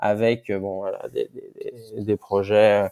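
Very clean recording of a male speaker, the background completely silent. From Martinique. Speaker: ocean engineer. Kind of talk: interview. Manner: halting, many repetitions and fillers.

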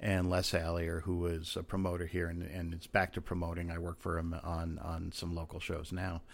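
With an American accent, a man speaks in a very deep, low, monotone voice, flat in intonation and with hardly any pauses. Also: moderate pace. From Rhode Island, US. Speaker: actor and former detective. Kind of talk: casual chat.

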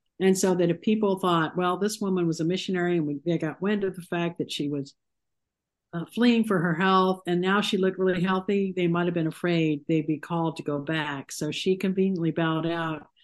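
Against a quiet background, a woman with an American accent talks quickly enough, fairly low in pitch and fairly even in intonation, in a plain, everyday voice. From Ohio, US Midwest. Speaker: author. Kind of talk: interview.

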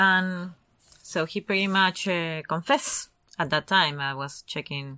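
A woman with a non-native accent and a bright, sharp tone speaks at a fairly slow pace with fairly even intonation in a very clean recording with a silent background. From Argentina. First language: Spanish. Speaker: true crime podcast co-host. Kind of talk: casual chat.

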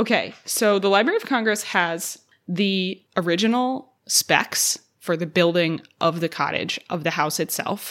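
A woman with an unremarkable speaking voice, medium pitch, ordinary pitch variation and a fairly slow pace. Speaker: podcast host at historic site museum. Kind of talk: scripted narration.

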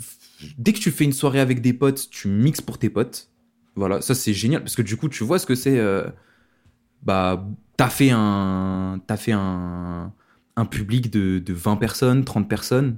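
At a fairly slow pace, a man speaks at a fairly low pitch, with ordinary pitch variation and long, frequent pauses. It is a very clean recording with a silent background. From France, Lyon. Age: 20s. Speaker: DJ. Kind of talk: interview. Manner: casual.

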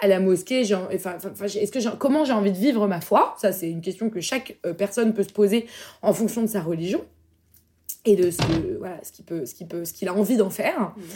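This woman talks at a fairly quick pace with lively intonation. Her pitch is fairly high, and she has an ordinary speaking voice. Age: 20s. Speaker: entrepreneur. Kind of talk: casual chat.

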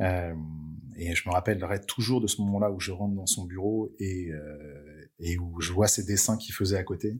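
The recording is very clean, with a silent background. A somewhat breathy voice moves at a moderate pace with fairly even intonation. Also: man, very deep, low pitch for a man. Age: 30s. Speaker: motion design studio cofounder and school director. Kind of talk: interview conversation.

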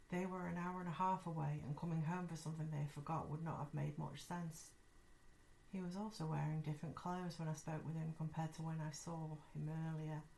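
A woman's very deep, low voice, somewhat breathy and dark and mellow in tone, at a fairly quick pace with monotone, flat intonation. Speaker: podcast host. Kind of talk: ghost story telling, reading listener-sent stories aloud. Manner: conversational, friendly, casual.

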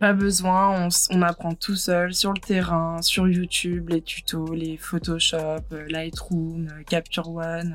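A woman speaks very slowly at a fairly low pitch. Her intonation stays flat and monotone. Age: 20s. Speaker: photographer. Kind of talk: casual chat.

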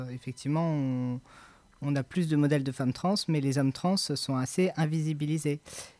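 A man's fairly high voice has a dark, mellow tone. His intonation stays fairly even. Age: 20s. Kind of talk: testimony interview. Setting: home recording studio. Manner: halting.

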